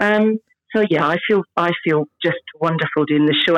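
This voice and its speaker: A woman with a Scottish accent, fairly low pitch and ordinary pitch variation, at a moderate pace, in a dry, close sound with no echo. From Scotland. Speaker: stage actress. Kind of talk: casual interview chat.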